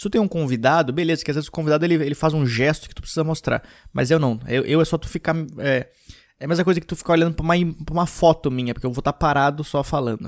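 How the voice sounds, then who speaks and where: Over a very clean recording with a silent background, the speaker goes at a very fast pace with ordinary pitch variation. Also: man, fairly high pitch for a man. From Rio Grande do Sul, Brazil (Gramado). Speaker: stand-up comedian and podcast host. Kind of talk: casual monologue.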